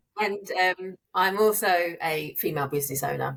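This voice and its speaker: A British accent colors the speech. The speaker is a woman. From UK. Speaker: therapist and business owner. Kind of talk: podcast interview.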